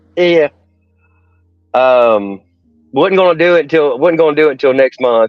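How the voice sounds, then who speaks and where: A man with a Southern US accent at a moderate pace and lively intonation, with music in the background. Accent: US South. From Nashville, Tennessee. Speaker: bearding club leader. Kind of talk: casual chat. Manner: halting.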